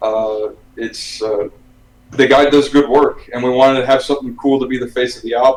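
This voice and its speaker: A man with an American accent, medium pitch, fairly even intonation and a fairly quick pace, amid noticeable background noise. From US, Miami, Florida. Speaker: metal musician. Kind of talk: casual chat.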